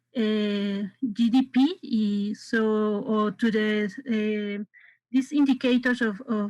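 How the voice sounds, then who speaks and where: Speaking with a Spanish accent, a woman has a fairly high pitch and fairly even intonation. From Mexico. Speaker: forum participant asking a question. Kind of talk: audience question. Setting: video call. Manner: halting.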